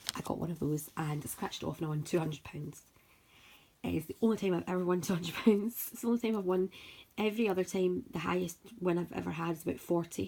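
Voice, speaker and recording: Speaking very fast in a Scottish accent, a woman with a fairly low pitch shows ordinary pitch variation. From Scotland, Paisley near Glasgow. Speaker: scratch card video creator. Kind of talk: casual vlog talk. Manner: chatty, talkative.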